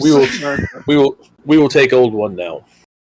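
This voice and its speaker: A man talks in a put-on character voice. His pitch is medium and his pace moderate. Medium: actual play. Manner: terse, broken grammar.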